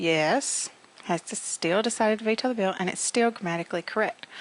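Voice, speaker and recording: This woman has an unremarkable speaking voice pitched at a medium level. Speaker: business English teacher. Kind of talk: recorded lecture. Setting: recording without students present.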